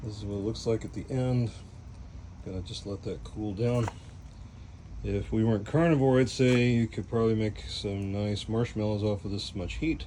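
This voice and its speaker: A man with an American accent talks in an ordinary speaking voice at a moderate pace, with a fairly low pitch and ordinary pitch variation. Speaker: cooking channel host. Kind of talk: cooking tutorial. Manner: casual, relaxed.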